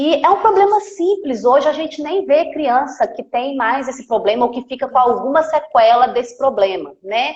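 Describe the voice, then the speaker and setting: Using a Minas Gerais accent, a woman speaks at a moderate pace and high pitch with lively intonation and hardly any pauses. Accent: Minas Gerais (mineiro). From Minas Gerais, Brazil (Campo Belo). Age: 30s. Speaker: physiotherapist. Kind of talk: live stream interview.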